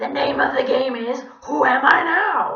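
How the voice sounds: A woman's put-on character voice, high and bright, sharp in tone, with vocal fry, ordinary pitch variation, a fairly slow pace and strong room echo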